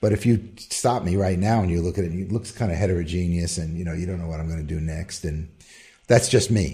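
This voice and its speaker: Very deep and low, a man's somewhat breathy voice with a dark, mellow tone rushes along at a very fast pace with ordinary pitch variation. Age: 60s. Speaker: composer. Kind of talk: interview.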